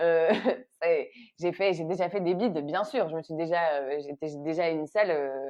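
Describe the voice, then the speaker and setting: A woman speaks at a fairly low pitch and a moderate pace, with ordinary pitch variation. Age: 30s. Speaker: actress and comedy writer. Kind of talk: interview conversation. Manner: hesitant, many repetitions and fillers.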